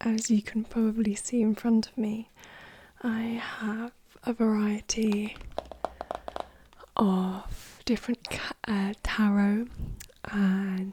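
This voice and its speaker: Soft-spoken and calm, at a very slow pace with long, frequent pauses, over noticeable background noise. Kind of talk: ASMR tarot card showcase, soft-spoken talk to camera. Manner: soft-spoken, calm, relaxing.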